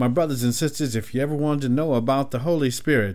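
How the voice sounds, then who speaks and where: A man speaks fairly quickly in an ordinary speaking voice. His intonation stays fairly even. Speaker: gospel radio host. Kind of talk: radio dj patter. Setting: radio studio. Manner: warm; smooth.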